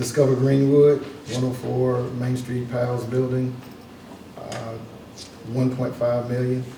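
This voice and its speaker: Amid noticeable background noise and audible room echo, a man speaks very slowly in a monotone, flat intonation, with long, frequent pauses. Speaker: county commission member. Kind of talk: public meeting, reading out funding rankings. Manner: hesitant, many fillers.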